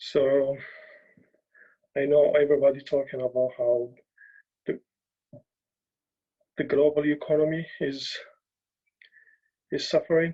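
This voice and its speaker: The man's voice is fairly high and flat, monotone in intonation. He speaks fairly slowly, with long, frequent pauses. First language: not English. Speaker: journalist. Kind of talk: talk. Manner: halting.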